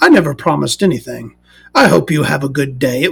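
A man rattles off lines very fast in a put-on character voice at medium pitch. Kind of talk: formal, courteous. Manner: dignified, polite, measured.

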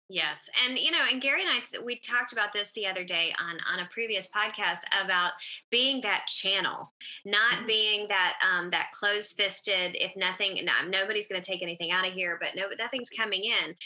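A woman uses a normal speaking voice at a medium pitch, with ordinary pitch variation and a moderate pace. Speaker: podcast co-host. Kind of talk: casual chat.

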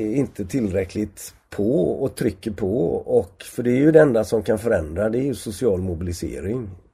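A man's dark, mellow voice, somewhat breathy and lively in intonation, moves at a moderate pace on a very clean recording with a silent background. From Sweden, Gothenburg. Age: 70s. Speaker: sociologist and professor. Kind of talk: interview conversation. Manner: halting, many repetitions and fillers.

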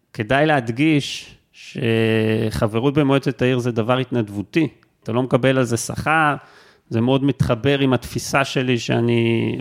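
Speaking at a fairly slow pace, the man keeps a medium pitch. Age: 40s. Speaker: university lecturer. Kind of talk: interview conversation. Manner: halting, repeats words.

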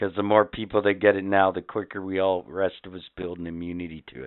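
Someone with a Canadian accent talks at a fairly quick pace. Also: man. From Canada. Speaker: podcast host. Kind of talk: trivia quiz; casual chat. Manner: animated.

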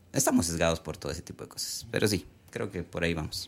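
A man is speaking. His pitch swings very widely. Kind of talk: casual faith discussion.

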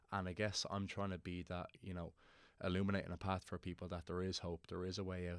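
A man speaks with a very deep, low pitch and monotone, flat intonation at a fairly quick pace. The recording is very clean, the background silent. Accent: Dublin. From Ireland, Dublin (Portmarnock). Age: 20s. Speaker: Gaelic football player. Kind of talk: interview.

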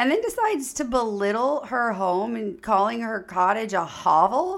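Her voice fairly high with vocal fry and very wide pitch swings, a woman speaks at a fairly slow pace on a very clean recording with a silent background. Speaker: podcast host, mother. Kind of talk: casual chat. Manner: joking, rambling.

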